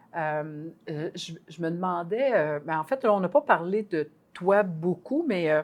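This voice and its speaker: A woman speaks at a very slow pace with a Quebec accent. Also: fairly low pitch for a woman, lively intonation. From Quebec, small village. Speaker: podcast co-host, university professor, ex-basketball player. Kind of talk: podcast interview.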